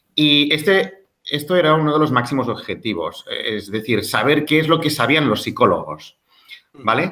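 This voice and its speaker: At a moderate pace, a man with a Catalan accent speaks at a fairly high pitch in a bright, sharp tone with ordinary pitch variation. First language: Catalan (speaking Spanish). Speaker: music teacher and researcher. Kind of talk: interview. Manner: halting, with fillers.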